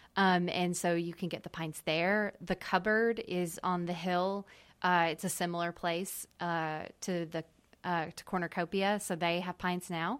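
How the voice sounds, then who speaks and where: On a very clean recording with a silent background, a woman with an American accent speaks fairly slowly in an unremarkable speaking voice, her fairly low pitch held in fairly even intonation. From US South, small town. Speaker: ice cream business owner. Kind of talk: interview. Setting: studio.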